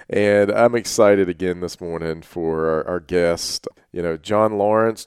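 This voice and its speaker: In a normal speaking voice, a man speaks at a fairly slow pace with fairly even intonation and hardly any pauses, in a dry, close sound with no echo. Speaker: podcast host. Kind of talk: casual interview chat.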